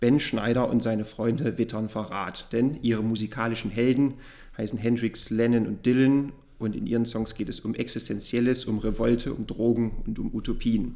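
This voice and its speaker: A man's dark, mellow, medium-pitched voice, monotone and flat in intonation, at a moderate pace. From eastern Germany. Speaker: podcast host and publishing editor. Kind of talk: book podcast interview; scripted introduction.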